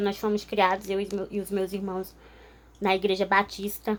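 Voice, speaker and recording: A woman talks at a medium pitch. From northern Brazil, Altamira (Pará). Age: 20s. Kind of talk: testimony. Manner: informal, with frequent filler hesitations.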